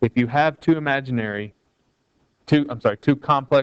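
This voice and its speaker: An ordinary speaking voice moves at a moderate pace with ordinary pitch variation. The sound is dry and close, with no echo. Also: man. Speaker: math teacher. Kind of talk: tutorial. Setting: recorded video lesson.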